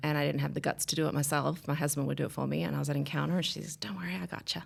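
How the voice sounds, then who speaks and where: In a very clean recording with a silent background, a woman with a very deep, low pitch and a slight Australian accent speaks at a very fast pace with very wide pitch swings. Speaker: podcast guest sharing a life story. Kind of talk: casual interview conversation.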